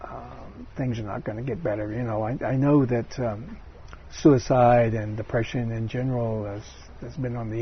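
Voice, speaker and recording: A man speaks at a medium pitch and a moderate pace, his voice somewhat breathy. His intonation stays fairly even. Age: 70s. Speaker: interviewee. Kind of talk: interview. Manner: halting; gentle.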